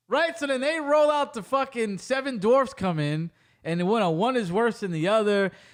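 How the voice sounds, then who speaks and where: Against a silent background in a very clean recording, a man talks at a moderate pace in an extremely high voice, his tone animated and his pitch swinging very widely. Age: 20s. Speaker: podcast host. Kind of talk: casual chat.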